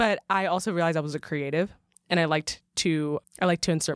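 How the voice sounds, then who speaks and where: A woman talks at a very fast pace. Her pitch is very deep and low, with fairly even intonation. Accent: American. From Michigan, US Midwest. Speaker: marketing associate. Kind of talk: interview, casual. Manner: chatty, many fillers.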